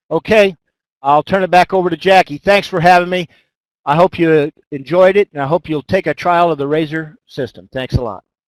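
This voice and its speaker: A man speaks at a fairly quick pace and a high pitch, with ordinary pitch variation. The sound is dry and close, with no echo. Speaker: trading system developer. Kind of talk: webinar presentation with Q&A. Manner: fast.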